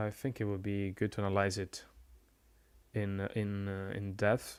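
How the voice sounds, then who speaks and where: Soft-spoken and at a fairly slow pace, a man with a fairly low pitch talks in a monotone, flat intonation, the recording very clean with a silent background. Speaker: game commentator and streamer. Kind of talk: live commentary. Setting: live stream. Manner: halting.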